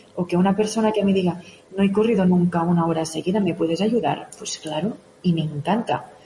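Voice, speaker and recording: A woman talks at a medium pitch with ordinary pitch variation. Noticeable background noise sits behind her. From Catalonia, Spain (Òdena, near Igualada). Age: young. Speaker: mountain runner and fitness coach. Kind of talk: radio interview.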